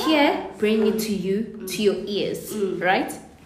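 A woman of medium pitch speaks fairly slowly amid audible room echo and noticeable background noise. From South Africa, Soweto. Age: 20s. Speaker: podcast co-host. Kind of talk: casual chat.

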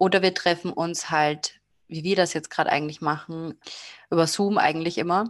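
A woman speaks in a normal speaking voice, pitched fairly low. The background is quiet. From Austria. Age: 20s. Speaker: tarot card reader and psychology student. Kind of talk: interview. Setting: video call.

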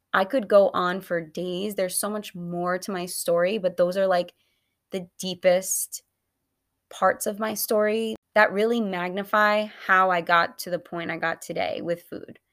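A woman with an unremarkable speaking voice talks fairly slowly at a medium pitch with fairly even intonation. The recording is very clean, with a silent background. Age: 20s. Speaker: dietitian podcast host. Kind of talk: personal testimony.

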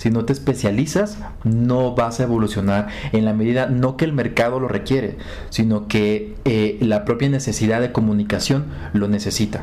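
Speaking at a moderate pace with a Mexican accent, a man keeps a medium pitch, ordinary pitch variation and very even loudness, with audible room echo and noticeable background noise behind him. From Mexico, Acapulco. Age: 30s. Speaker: digital communication specialist. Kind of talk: interview. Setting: in person in Bogotá.

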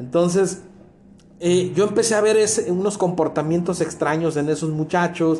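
Pitch varies in an ordinary way as a man speaks at a fairly slow pace. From Mexico, Culiacán, Sinaloa. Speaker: podcast guest, host's coworker. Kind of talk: casual chat. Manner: halting, with many repetitions.

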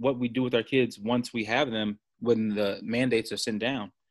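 A plain, everyday voice: a man at medium pitch and moderate pace, his intonation fairly even, on a very clean recording with a silent background. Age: 30s. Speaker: college football coach. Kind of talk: casual interview.

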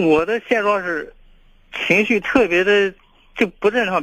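At a moderate pace, a man talks in a bright, sharp tone. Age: 30s. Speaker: caller with a personal problem. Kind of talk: call-in advice conversation. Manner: halting, repeats words.

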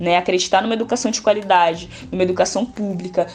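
A woman talks at a very fast pace with ordinary pitch variation. Music plays in the background. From São Paulo south side. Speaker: community prep course coordinator. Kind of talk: podcast interview.

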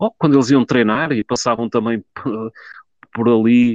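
In a normal speaking voice, a man talks at a medium pitch. His pace is moderate and his intonation fairly even. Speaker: football fan commentator. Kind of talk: online group discussion.

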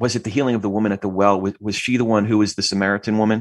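A man with an American accent speaks in a plain, everyday voice at medium pitch, with ordinary pitch variation and a quiet background. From New Jersey. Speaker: podcast host, theology student. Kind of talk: casual interview conversation. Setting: video call.

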